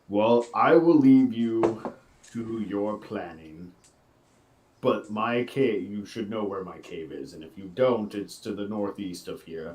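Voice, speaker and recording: A man's put-on character voice, fairly low in pitch, at a fairly slow pace. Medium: actual play. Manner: haughty, sardonic.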